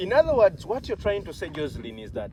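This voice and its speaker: A man speaks in a Ugandan accent. Noticeable background noise runs behind him. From Uganda (Baganda). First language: Luganda. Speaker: health channel host. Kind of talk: interview.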